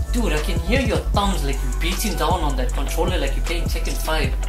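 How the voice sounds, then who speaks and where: Fairly quick speech over clear background music. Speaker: skit actor making a call. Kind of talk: comedy sketch dialogue. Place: home room.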